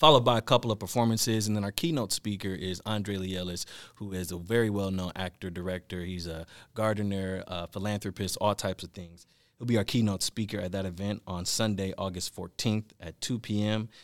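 A man with an American accent speaks in an ordinary speaking voice, fairly low in pitch, with fairly even intonation at a fairly quick pace. The sound is dry and close with no echo, in a very clean recording with a silent background. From Milwaukee, Wisconsin. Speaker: actor and director. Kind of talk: casual chat.

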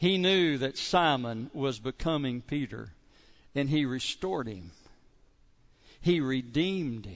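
This man's voice sits fairly high, and his intonation is lively. He speaks at a fairly slow pace with long, frequent pauses over a quiet background. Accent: Kentucky. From southeastern Kentucky. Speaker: pastor. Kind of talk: sermon. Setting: church.

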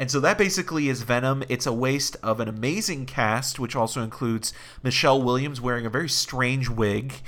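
Against noticeable background noise, a man speaks at a medium pitch. His pace is fairly quick, with ordinary pitch variation. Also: hardly any pauses. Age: 30s. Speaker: podcast host and film reviewer. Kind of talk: casual chat.

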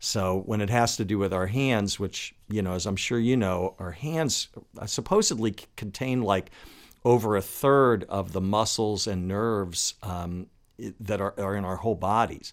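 Here is a man with an ordinary speaking voice and a fairly low pitch. He talks at a moderate pace. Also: ordinary pitch variation. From Washington, D.C. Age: 60s. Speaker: guitarist and podcast host. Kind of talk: casual interview chat. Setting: remote call.

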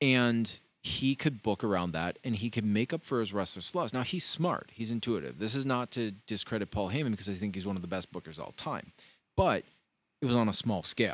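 An ordinary speaking voice from a man, medium in pitch and at a fairly quick pace, on a very clean recording with a silent background. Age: 40s. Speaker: wrestling podcast co-host. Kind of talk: casual chat. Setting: studio.

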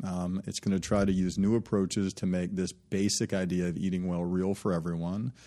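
A man with an American accent speaks at a fairly quick pace in a very deep, low voice with a dark, mellow tone. The recording is very clean, with a silent background. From US South, Birmingham, Alabama. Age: 30s. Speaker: startup founder and CEO. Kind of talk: interview. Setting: studio. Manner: halting.

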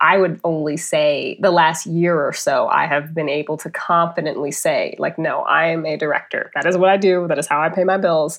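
In an American accent, a woman with a fairly low pitch talks at a moderate pace with monotone, flat intonation and hardly any pauses. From US Midwest, North County St. Louis, Missouri. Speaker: film director. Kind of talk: casual chat.

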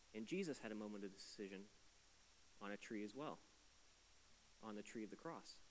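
A man's fairly low voice with ordinary pitch variation, a fairly quick pace and long, frequent pauses. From Atlantic Canada. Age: 20s. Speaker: pastor. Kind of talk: sermon. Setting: church. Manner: animated.

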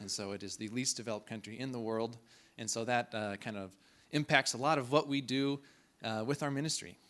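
The voice carries an American accent and moves at a fairly quick pace with ordinary pitch variation. The recording is very clean, with a silent background. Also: man, medium pitch for a man. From Kansas, US (Clearwater). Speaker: missionary. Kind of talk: church presentation. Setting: church.

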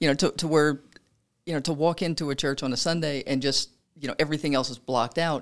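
Someone with a Louisiana accent talks at a very fast pace on a very clean recording with a silent background. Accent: Southern US (Louisiana). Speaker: podcast host. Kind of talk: casual interview. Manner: chatty, laughing often.

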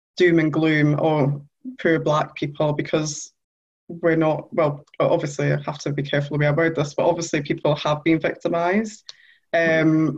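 Speaking in a Geordie accent, a woman has a very deep, low pitch. Her intonation is monotone and flat, at a moderate pace. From northern England, Newcastle. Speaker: journalist. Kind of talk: interview.

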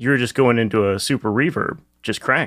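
With an American accent, a man talks at a medium pitch in a normal speaking voice. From US East Coast. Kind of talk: casual chat.

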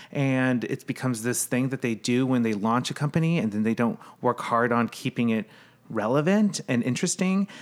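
In a very clean recording with a silent background, a man with a normal speaking voice talks at a fairly quick pace and medium pitch, his loudness very even and his intonation lively. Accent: American. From US Midwest. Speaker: brand strategist. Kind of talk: casual chat.

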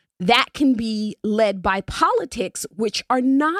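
In an ordinary speaking voice, a woman talks at a fairly slow pace with lively intonation, the sound dry and close with no echo. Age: 40s. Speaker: community radio talk show host. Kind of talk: radio DJ station-ID patter, reading call-in number and social media plugs; community radio talk show, casual conversational monologue on politics and policing. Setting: radio studio, simulcast live on Facebook. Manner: warm, chatty, filler-heavy (um, uh), repeats words while thinking; friendly upbeat announcer cadence, briskly listing numbers and ways to join.

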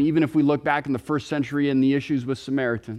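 The speaker is a man. His pitch is fairly high. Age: 30s. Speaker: pastor. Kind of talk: sermon. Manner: halting, repeats words.

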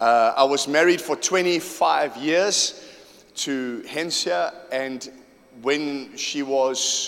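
A man with a fairly high voice talks amid noticeable background noise. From South Africa, KwaZulu-Natal and Johannesburg. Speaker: pastor. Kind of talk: sermon. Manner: animated.

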